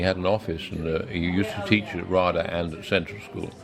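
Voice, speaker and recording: A man with a Received Pronunciation accent speaks at a fairly quick pace in a very deep, low voice. Noticeable background noise and audible room echo surround him. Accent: received pronunciation, Yorkshire trained out. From northern England, Pudsey, West Yorkshire. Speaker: actor. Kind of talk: interview, storytelling. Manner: halting, many fillers and restarts.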